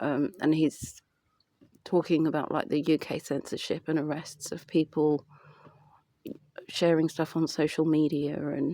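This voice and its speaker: Dry and close with no echo, a woman with a British accent speaks in a very deep, low voice with a dark, mellow tone and flat, monotone intonation. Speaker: vlogger. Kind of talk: casual vlog monologue. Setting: outdoors in light rain. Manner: halting; subdued, lower voice.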